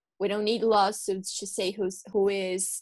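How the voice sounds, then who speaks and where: Speaking at a fairly slow pace and medium pitch, a woman with a Portuguese accent keeps a monotone, flat intonation. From Brazil. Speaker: law student co-host. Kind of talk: interview.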